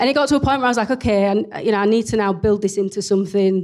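A woman with a strong Leeds accent, medium pitch, ordinary pitch variation and a very fast pace. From northern England, Leeds. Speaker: entrepreneur. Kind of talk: interview in front of an audience. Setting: live event with audience.

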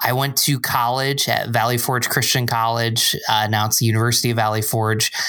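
A man with an American accent talks at a fairly quick pace with hardly any pauses, his intonation flat and monotone and his loudness very even, amid noticeable background noise and audible room echo. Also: medium pitch for a man. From upstate New York (Binghamton). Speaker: church small groups pastor. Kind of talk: casual chat.

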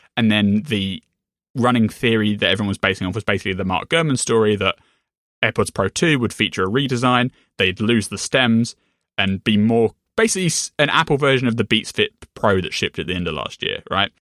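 A man talks in a plain, everyday voice at a medium pitch and a fairly quick pace, with ordinary pitch variation. The sound is dry and close with no echo, set against a quiet background. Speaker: podcast co-host. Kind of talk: casual tech podcast chat.

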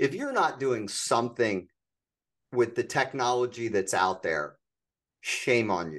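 Speaking fairly slowly with long, frequent pauses, a man at a medium pitch shows vocal fry and lively intonation. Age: 50s. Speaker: podcast host, entrepreneur coach. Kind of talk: interview.

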